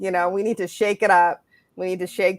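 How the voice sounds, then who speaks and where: A woman with an American accent has an unremarkable speaking voice, a fairly low pitch and fairly even intonation, captured on a very clean recording with a silent background. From United States. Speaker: panelist. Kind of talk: panel discussion.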